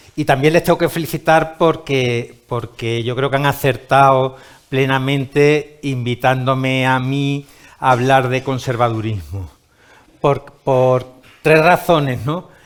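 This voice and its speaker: Very slow speech from a man at a medium pitch, with fairly even intonation. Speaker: writer and conference speaker. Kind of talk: lecture. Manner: halting, with repetitions and fillers.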